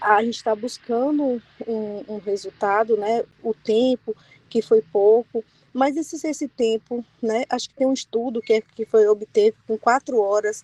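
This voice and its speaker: A soft-spoken woman talks at a fairly slow pace, her fairly high pitch held to fairly even intonation. Her tone is dark and mellow, and the sound is dry and close with no echo. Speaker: physiotherapy study group participant. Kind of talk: group discussion on video call.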